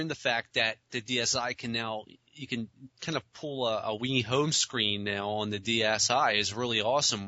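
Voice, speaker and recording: Here a man speaks with fairly even intonation. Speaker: gaming podcast co-host. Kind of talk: casual podcast chat. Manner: mumbling; halting, many fillers.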